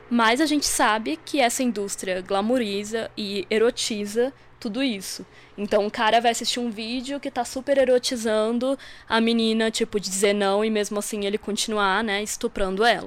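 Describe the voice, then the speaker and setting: At a moderate pace, a woman speaks in an unremarkable speaking voice with fairly even intonation. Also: fairly high pitch for a woman. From Santa Catarina, southern Brazil. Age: 20s. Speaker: feminist podcaster. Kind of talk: recorded presentation of research.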